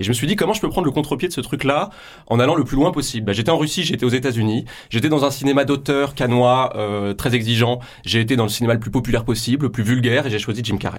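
A very fast-talking man at medium pitch on a very clean recording with a silent background. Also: ordinary pitch variation. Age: 30s. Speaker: film critic and author. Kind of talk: radio interview. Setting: radio studio. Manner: hesitant, many fillers.

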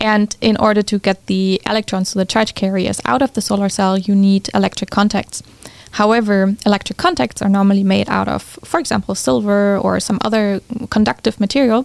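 A woman's medium-pitched voice at a fairly quick pace, with ordinary pitch variation, very even loudness, and a dry, close sound with no echo. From Germany. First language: German. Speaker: physics professor and entrepreneur. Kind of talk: interview.

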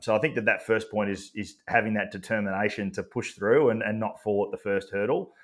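A man speaks with an Australian accent. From regional Victoria, Australia. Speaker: athlete wellbeing and leadership consultant. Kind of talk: interview. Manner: halting, many fillers and repeats.

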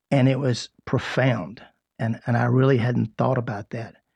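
A man with an unremarkable speaking voice talks at a moderate pace, his pitch medium and his intonation fairly even. The background is quiet and the sound dry and close, with no echo. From South Carolina (Rock Hill). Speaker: radio host and chamber of commerce president. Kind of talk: radio talk show hosting. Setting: radio studio.

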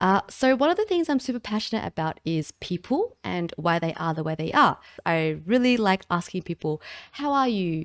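In an Australian accent, the speaker moves at a moderate pace with very wide pitch swings, dry and close with no echo, on a very clean recording with a silent background. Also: woman. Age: 20s. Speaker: podcast host and streamer. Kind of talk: solo podcast monologue, reading from a screen. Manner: casual, chatty.

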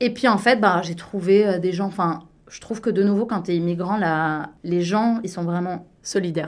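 A woman with a plain, everyday voice speaks at a medium pitch and a moderate pace, with fairly even intonation. Her loudness swings widely on a very clean recording with a silent background. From Belgium, Liège area. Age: 30s. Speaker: business consultant. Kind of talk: casual radio interview.

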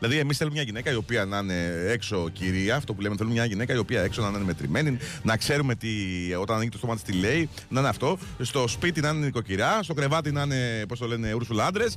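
A man's medium-pitched, very fast speech with lively intonation and music in the background. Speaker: radio host. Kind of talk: casual chat.

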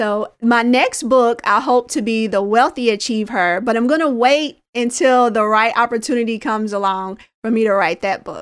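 Here is a woman with an unremarkable speaking voice and an American accent, fairly high in pitch with ordinary variation. She speaks at a moderate pace on a very clean recording with a silent background. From US Midwest, Indianapolis, Indiana. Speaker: early retiree and personal finance author. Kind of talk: interview.

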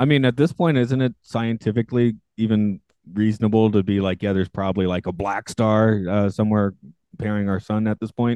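A man with an American accent talks at a fairly quick pace. He has an unremarkable speaking voice, fairly low in pitch, with ordinary pitch variation. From US South. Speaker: podcast host. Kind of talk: casual chat. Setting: video call.

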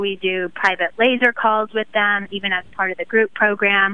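A normal speaking voice from a woman, fairly slow in pace and with ordinary pitch variation. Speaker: holistic health coach. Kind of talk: casual interview chat. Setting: live radio show.

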